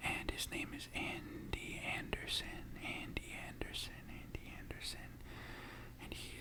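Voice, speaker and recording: Someone whispers at a very slow pace. Noticeable background noise sits behind the voice. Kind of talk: ASMR casual chat. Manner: whispered.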